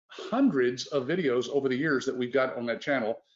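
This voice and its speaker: A man speaks in a Texas accent. His pace is moderate and his intonation lively. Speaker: business owner hosting a sales webinar. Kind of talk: sales pitch. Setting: live webinar.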